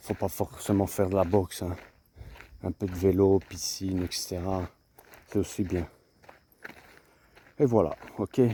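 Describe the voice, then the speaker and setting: Soft-spoken and very deep, a man's voice has a dark, mellow tone and fairly even intonation, with long, frequent pauses. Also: fairly slow pace. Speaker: vlogger, boxing coach. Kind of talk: casual vlog monologue. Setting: outdoors. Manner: halting, repetitive.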